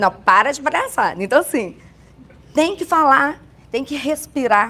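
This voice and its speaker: A woman's high-pitched, raised, projected voice, bright and sharp in tone, with lively intonation, big swings in loudness and a fairly slow pace. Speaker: church women's speaker. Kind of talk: casual chat.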